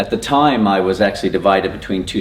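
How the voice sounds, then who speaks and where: A man's very deep, low voice carries an American accent. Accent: American, noticeable to Australians. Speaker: teacher. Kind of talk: presentation to teachers. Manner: hesitant, many fillers.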